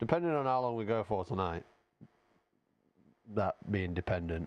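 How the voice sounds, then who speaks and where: With very even loudness and lively intonation, a man speaks at a moderate pace in a fairly low pitch. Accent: strong Yorkshire. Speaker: gaming streamer. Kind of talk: casual live-stream chat. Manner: halting, repetitive.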